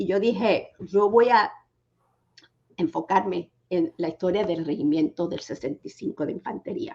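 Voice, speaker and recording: A woman with a medium pitch talks fairly slowly. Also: lively intonation. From New York, Puerto Rican community. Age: 60s. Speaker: author and documentary filmmaker. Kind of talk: interview. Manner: eloquent.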